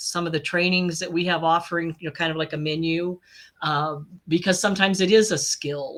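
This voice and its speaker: In a fairly low voice, a woman speaks with flat, monotone intonation. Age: 60s. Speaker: life and business coach. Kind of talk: casual interview chat.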